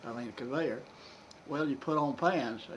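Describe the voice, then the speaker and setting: In a Kentucky accent, a man speaks at a fairly high pitch and fairly slow pace, with ordinary pitch variation. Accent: Southern American (Kentucky). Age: 80s+. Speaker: retired coal miner. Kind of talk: interview answer. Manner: storytelling, casual.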